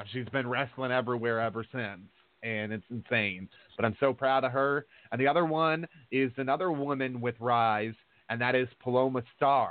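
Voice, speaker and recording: A man with a normal speaking voice, medium pitch, moderate pace and ordinary pitch variation. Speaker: radio host and wrestling promoter. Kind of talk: casual chat. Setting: studio.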